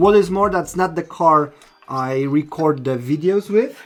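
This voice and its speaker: At a fairly slow pace, a man with a non-native accent speaks at a fairly high pitch with ordinary pitch variation. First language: not English. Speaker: RC car product presenter. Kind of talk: tutorial. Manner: hesitant, many fillers.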